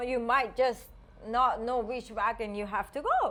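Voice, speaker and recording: The speaker is a woman with a non-native accent and a fairly high pitch. She talks at a fairly slow pace with fairly even intonation. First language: not English. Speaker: podcast co-host. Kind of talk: casual chat.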